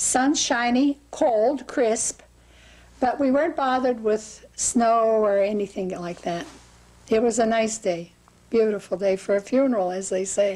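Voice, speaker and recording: Her fairly high voice has a dark, mellow tone, as the woman speaks at a fairly slow pace with ordinary pitch variation. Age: 80s+. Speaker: interviewee recalling historical events. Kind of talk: interview.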